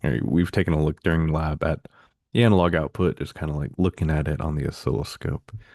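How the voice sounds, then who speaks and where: With vocal fry and a very deep, low pitch, a man speaks at a very fast pace and fairly even intonation, in a dry, close sound with no echo and a quiet background. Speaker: instructor. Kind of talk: lecture. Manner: casual, many fillers.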